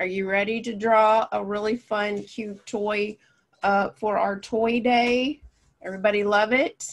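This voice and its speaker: A woman talks at a fairly slow pace. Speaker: art teacher. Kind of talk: tutorial.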